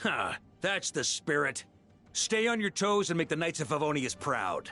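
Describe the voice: Over faint music in the background, a man does a put-on character voice with a bright, sharp tone, fairly high pitch, big pitch swings and a moderate pace.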